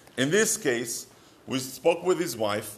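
Here a man talks with an Israeli accent. His pace is moderate. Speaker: marriage advice rabbi. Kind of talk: short advice talk.

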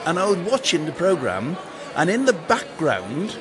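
The man is heard over noticeable background noise. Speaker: town crier.

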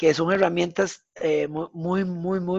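Against a quiet background, a man with a Costa Rican accent speaks at a high pitch with fairly even intonation, in a dry, close sound with no echo. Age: 40s. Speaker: fitness coach. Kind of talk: interview conversation.

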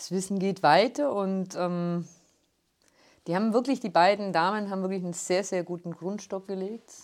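Spoken with a Swabian accent and fairly even intonation, this comes from a very clean recording with a silent background. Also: woman, medium pitch for a woman, moderate pace. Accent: rolled R from Günzburg. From Ulm, Swabia (southern Germany). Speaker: city tour guide. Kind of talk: interview. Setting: studio.

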